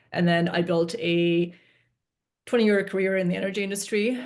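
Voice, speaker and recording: Speaking at a fairly quick pace in a monotone, flat intonation, a woman is heard over a quiet background. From Eastern Europe. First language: Eastern European language. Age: 40s. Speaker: investor and wealth coach for women. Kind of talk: interview. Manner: hesitant, many fillers.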